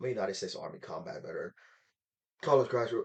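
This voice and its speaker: In a put-on character voice, a man talks very fast and sounds raspy. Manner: sleepy.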